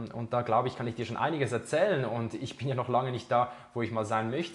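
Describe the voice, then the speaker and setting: Somewhat breathy, a man of medium pitch talks at a very fast pace with fairly even intonation. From Switzerland, Zurich. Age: 20s. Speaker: podcast host, fitness trainer. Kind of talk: solo podcast monologue. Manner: casual, with many fillers.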